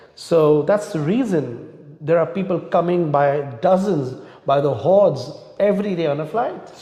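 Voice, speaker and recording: Over noticeable background noise and audible room echo, a man speaks at a moderate pace in a high pitch with ordinary pitch variation. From India. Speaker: immigration lawyer. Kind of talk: interview. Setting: live online talk.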